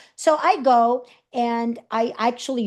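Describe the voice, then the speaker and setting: A woman with a Puerto Rican accent speaks in an animated tone. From Puerto Rico. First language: Spanish. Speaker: speaker and coach. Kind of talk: interview storytelling.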